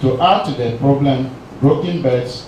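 Over noticeable background noise and audible room echo, a man speaks with ordinary pitch variation. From Ghana. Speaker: historian and research fellow; presenter. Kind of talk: academic seminar lecture. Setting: seminar room with audience. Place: meeting room.

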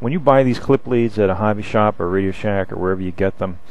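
The sound is dry, with no echo. A man speaks at a fairly low pitch with ordinary pitch variation. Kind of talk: tutorial. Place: workshop. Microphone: camera far.

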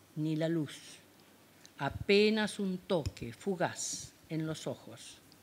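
The intonation is lively even at a very slow pace. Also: woman. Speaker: poet. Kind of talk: poetry reading. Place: hall. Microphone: handheld.

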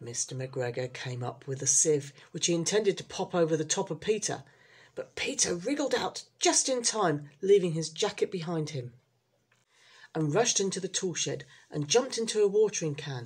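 At a moderate pace, a woman with a fairly low, somewhat breathy voice makes very wide pitch swings. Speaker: storyteller reading aloud. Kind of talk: children's storybook audiobook reading. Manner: slightly halting, with small restarts.

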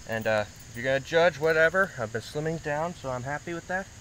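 A man speaks at a fairly quick pace, the sound dry with no echo, with light background noise behind him. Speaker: knife reviewer. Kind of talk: casual vlog chat. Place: garden.

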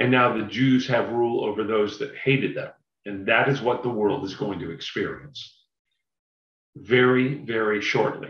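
Against a quiet background with audible room echo, a man talks at a moderate pace. He sounds somewhat breathy, with ordinary pitch variation. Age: 50s. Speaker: Bible class speaker; speaker. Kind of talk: Bible study lecture. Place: home room. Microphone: webcam.

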